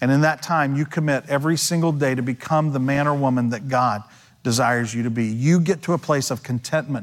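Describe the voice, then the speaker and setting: A plain, everyday voice from a man at medium pitch, moderate pace and ordinary pitch variation, in a very clean recording over a silent background. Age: 50s. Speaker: pastor. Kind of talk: sermon. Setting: church.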